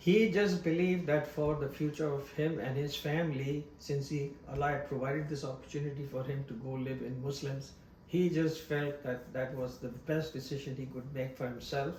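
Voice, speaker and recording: A man speaks at a moderate pace with hardly any pauses, his fairly high voice held to a fairly even intonation, with audible room echo and noticeable background noise. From Pakistan, Karachi (born in Bombay). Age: 80s+. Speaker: immigrant interviewee. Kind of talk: personal testimony interview.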